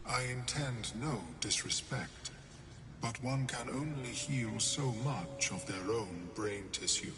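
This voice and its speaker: A put-on character voice from a man at medium pitch, fairly slow, over loud background noise. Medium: machinima. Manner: measured, clinical.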